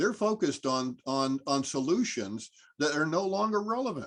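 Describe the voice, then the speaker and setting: Speaking with an American accent, a man uses a fairly high pitch with very wide pitch swings. The background is quiet. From Massachusetts, Cape Cod. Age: 70s. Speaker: environmental scientist. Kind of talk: Q&A discussion. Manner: halting, many fillers; energetic, enthusiastic.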